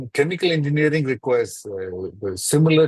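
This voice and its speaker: The man's voice has a somewhat breathy quality. He talks at a moderate pace. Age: 60s. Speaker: chemical engineering consultant. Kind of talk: webinar panel discussion. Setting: webinar.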